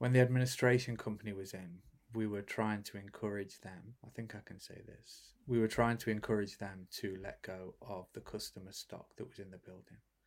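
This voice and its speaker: The speech moves at a fairly quick pace with hardly any pauses. Loudness swings a lot while the intonation stays fairly even. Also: man, fairly low pitch for a man. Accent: British. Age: 40s. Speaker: bike company founder. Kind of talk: interview. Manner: halting.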